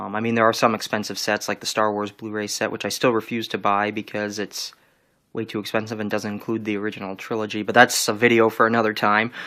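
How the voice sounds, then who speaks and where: A man's fairly low voice with a bright, sharp tone, very fast pace and monotone, flat intonation. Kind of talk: casual talk to camera. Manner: hesitant, many fillers.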